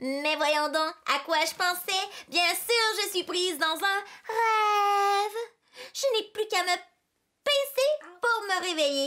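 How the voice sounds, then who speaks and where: Putting on a character voice, a woman speaks at an extremely high pitch and a fairly slow pace with long, frequent pauses. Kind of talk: children's storytime reading. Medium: read story. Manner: theatrical, expressive.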